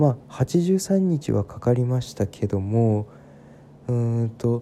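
Speaking at a very slow pace, a man uses lively intonation in a dark, mellow tone. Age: 20s. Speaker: podcaster. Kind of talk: casual monologue. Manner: many fillers, unhurried.

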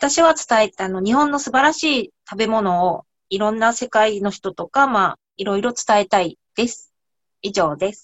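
Lively intonation marks a plain, everyday voice speaking at a moderate pace. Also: woman, fairly high pitch for a woman, big swings in loudness. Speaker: cooking researcher. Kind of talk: casual chat.

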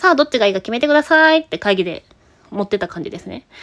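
A woman's pitch swings very widely in a dry, close sound with no echo. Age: 30s. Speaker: IT company employee, podcaster. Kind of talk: casual solo talk answering listener mail.

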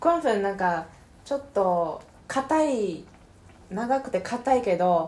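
Speaking very slowly with long, frequent pauses, a woman with a Mandarin Chinese accent uses a fairly high voice and very wide pitch swings. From China. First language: Mandarin Chinese (speaking Japanese). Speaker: podcast co-host. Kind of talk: casual chat. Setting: home, eating hot pot while recording. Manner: halting, many fillers.

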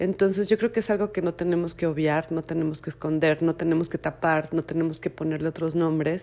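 In a central Mexican accent, a woman speaks with a very deep, low pitch and a dark, mellow tone. Her intonation is monotone and flat at a moderate pace. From Mexico, Mexico City. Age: 40s. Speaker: book designer and bookseller. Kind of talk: testimony. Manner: halting.

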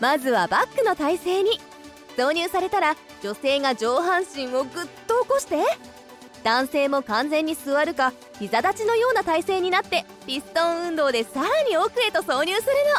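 Using a put-on character voice, a woman speaks at an extremely high pitch with a fairly bright tone and big pitch swings, as faint music plays in the background. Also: moderate pace.

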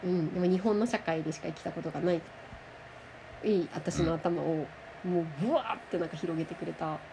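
A woman speaks at a moderate pace, her pitch fairly low, with big swings in loudness. Long, frequent pauses break up her speech over noticeable background noise. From Japan. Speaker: language teacher. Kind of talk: interview. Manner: animated.

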